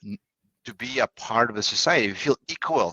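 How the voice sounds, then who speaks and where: A man with a Russian accent speaks at a fairly quick pace with lively intonation, the sound dry and close with no echo. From Russia, Saint Petersburg. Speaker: negotiation coach. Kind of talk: podcast interview. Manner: halting.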